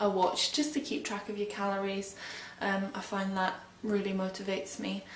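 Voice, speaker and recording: This is a woman's voice with light noise in the background. The room gives off an audible echo. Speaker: fitness instructor. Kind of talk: workout instruction. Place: home room. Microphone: camera far.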